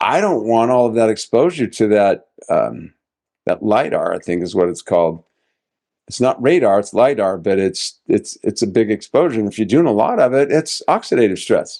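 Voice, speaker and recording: Against a quiet background, a man with a medium-pitched, dark, mellow voice talks at a moderate pace with lively intonation. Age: 70s. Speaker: doctor, health podcast co-host. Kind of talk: casual chat.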